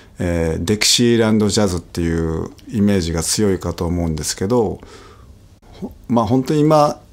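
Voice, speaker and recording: The intonation is lively. The pace is moderate. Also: man, fairly low pitch for a man. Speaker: trumpet player. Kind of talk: casual chat. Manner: hesitant, many fillers.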